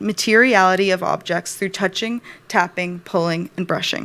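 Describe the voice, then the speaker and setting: A woman's normal speaking voice, medium in pitch, with fairly even intonation and a moderate pace. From Rhode Island, USA. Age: 30s. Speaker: design writer, graduate student. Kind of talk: thesis presentation.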